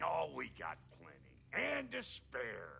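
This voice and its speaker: A man uses a raspy, gruff put-on character voice. He talks at a very slow pace over clear background noise. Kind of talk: tough-guy slang. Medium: video game. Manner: gruff, brash, slangy.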